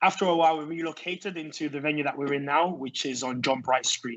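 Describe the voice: A man's fairly high, fairly bright voice with fairly even intonation at a fairly quick pace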